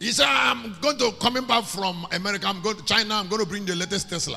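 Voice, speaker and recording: Animated and raised to a projected level, a man's high-pitched voice races along at a very fast pace with ordinary pitch variation as music plays in the background. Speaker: preacher. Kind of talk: sermon, preaching to a congregation. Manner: animated, conversational.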